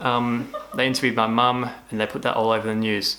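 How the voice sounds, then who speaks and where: Amid noticeable background noise, a man with an Australian accent talks at medium pitch and a moderate pace. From Australia, Tasmania. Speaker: cancer survivor vlogger. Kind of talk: casual vlog talk. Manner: stuttering.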